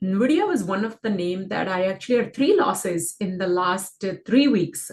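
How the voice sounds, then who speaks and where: A woman speaks with lively intonation. Her voice has a somewhat breathy quality. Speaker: stock trading educator. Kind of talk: market analysis screen-share tutorial. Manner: casual, filler-heavy.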